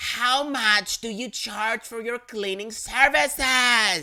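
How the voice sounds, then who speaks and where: A woman puts on a loud character voice with a fairly high pitch, speaking at a very slow pace. The recording is very clean, with a silent background. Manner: overly loud, slow, condescending.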